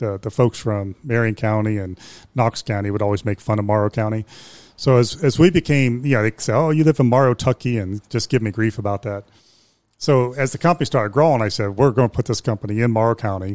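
Someone with an American accent speaks very fast with ordinary pitch variation, in a very clean recording with a silent background and a dry, close sound with no echo. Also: man, medium pitch for a man. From Ohio, Youngstown. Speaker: business owner. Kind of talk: interview.

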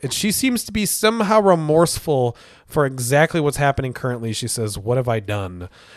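Animated in tone, a man talks at a fairly quick pace with a fairly high pitch and very wide pitch swings. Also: hardly any pauses. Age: 30s. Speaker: comic book podcast host. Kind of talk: casual chat.

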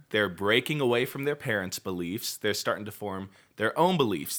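A man with an American accent speaks in a normal speaking voice at a moderate pace. His intonation is lively, on a very clean recording with a silent background. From Washington State, Puyallup. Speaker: youth pastor. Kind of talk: casual chat.

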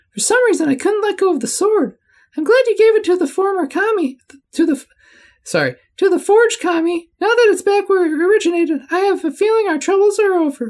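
The man uses a put-on character voice. It climbs to an extremely high pitch. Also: moderate pace. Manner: relieved, reassuring.

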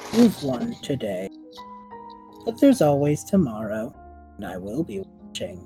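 A man uses a put-on, robotic character voice over faint music in the background. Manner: menacing.

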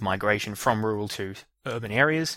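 The recording is very clean, with a silent background. A man speaks at a fairly low pitch in a bright, sharp tone. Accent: Australian. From Australia. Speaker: educational podcast host. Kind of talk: solo lecture.

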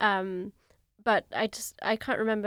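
Speaking at a moderate pace in a flat monotone, a woman with a medium pitch comes through on a very clean recording with a silent background. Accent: British. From England. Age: 30s. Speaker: concert pianist. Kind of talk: interview. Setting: studio.

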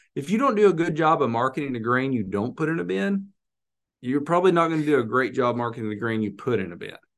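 A man with an American accent talks very fast, his medium-pitched voice swinging very widely up and down. The background is quiet. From Arkansas, US South. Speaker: grain merchandiser. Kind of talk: casual chat about grain marketing.

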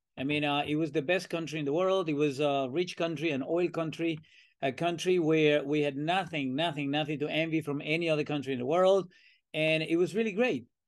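Fairly quick speech over a quiet background. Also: man, fairly high pitch for a man. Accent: Venezuelan. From Venezuela. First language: Spanish. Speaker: professor. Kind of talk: interview. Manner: talkative; animated.

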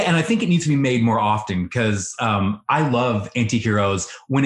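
The voice is an unforced reading voice.

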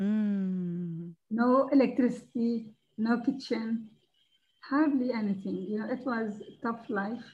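A woman's fairly high voice with a Levantine Arabic accent, ordinary pitch variation and a very slow pace. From Palestine and Jordan (born Ramallah, raised Jordan). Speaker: charity founder. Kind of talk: interview, personal story.

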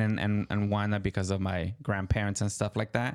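A man with a Mexican accent speaks at a fairly low pitch with fairly even intonation, recorded very cleanly against a silent background. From Mexico. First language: Spanish. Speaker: podcast co-host. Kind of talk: casual chat. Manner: halting.

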